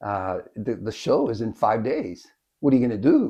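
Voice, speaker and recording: In a quiet background, a man with an American accent speaks at a medium pitch with ordinary pitch variation, his tone dark and mellow and somewhat breathy. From Miami, Florida. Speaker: concert fan. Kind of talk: personal storytelling interview. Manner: halting, with fillers and restarts.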